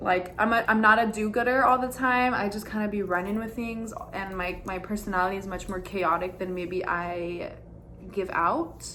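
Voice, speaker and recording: Speaking at a moderate pace, a woman sounds animated, with medium pitch and ordinary pitch variation. Noticeable background noise and audible room echo surround her. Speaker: dance teacher and content creator. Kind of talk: casual vlog monologue. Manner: loud.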